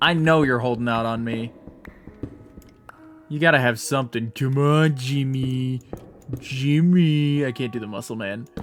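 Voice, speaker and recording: Music plays in the background. The speaker uses ordinary pitch variation and leaves long, frequent pauses. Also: man, medium pitch for a man. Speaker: streamer. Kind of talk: live gameplay commentary. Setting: live stream. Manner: animated, rambling with repetitions.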